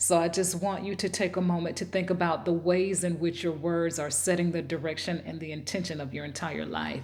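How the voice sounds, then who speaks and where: A woman with a Southern US accent speaks at a moderate pace in a fairly low pitch, with ordinary pitch variation and audible room echo. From US South. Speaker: self-help video host. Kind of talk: motivational talk.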